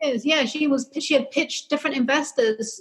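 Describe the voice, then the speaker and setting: In a London accent, a woman speaks at a fairly quick pace with fairly even intonation. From London, England. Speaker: publicist. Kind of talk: interview.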